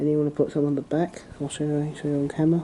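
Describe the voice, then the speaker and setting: Soft-spoken and fairly high-pitched, a man talks at a fairly quick pace. His tone is dark and mellow. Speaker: hobbyist model railway maker. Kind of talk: tutorial. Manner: halting.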